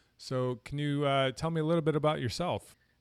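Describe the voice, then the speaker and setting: With an American accent, a man talks at a fairly quick pace in an ordinary speaking voice with ordinary pitch variation. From Buffalo, New York. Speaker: podcast host. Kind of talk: interview; scripted introduction.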